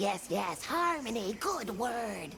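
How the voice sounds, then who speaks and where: A cartoonish character voice at a fairly high pitch comes through over clear background noise. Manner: quaint, broken grammar, playful.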